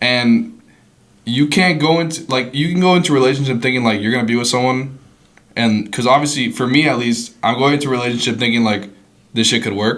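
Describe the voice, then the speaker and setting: Very fast speech from a man, with ordinary pitch variation and audible room echo. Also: medium pitch for a man. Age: young. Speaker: podcast co-host. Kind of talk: casual chat.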